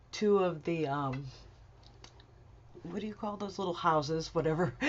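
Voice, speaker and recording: Her pitch fairly low, a woman speaks with ordinary pitch variation. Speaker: crafting tutorial maker. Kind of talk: software tutorial narration.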